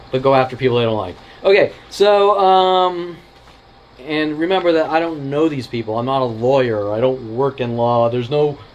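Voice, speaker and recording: Noticeable background noise sits under this recording. A man with a fairly high pitch talks at a moderate pace with lively intonation. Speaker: video blogger. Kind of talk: casual chat. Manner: animated.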